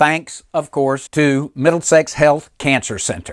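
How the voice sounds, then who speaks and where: A man in a Southern US accent, in a dry, close sound with no echo and a very clean recording with a silent background. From US South, Mississippi. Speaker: motivational speaker and humorist. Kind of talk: humorous keynote speech. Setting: recorded virtual presentation.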